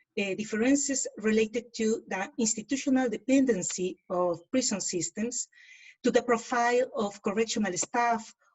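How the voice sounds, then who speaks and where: At a moderate pace, a woman speaks with a fairly high pitch, ordinary pitch variation and a somewhat breathy quality. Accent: Spanish. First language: Spanish. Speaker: academic speaker. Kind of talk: academic presentation.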